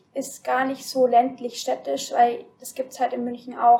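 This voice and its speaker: A woman's voice sits high in pitch with a dark, mellow tone. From Bavarian Forest, Deggendorf district. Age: 20s. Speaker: guest. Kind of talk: casual chat. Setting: studio. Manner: halting, many fillers.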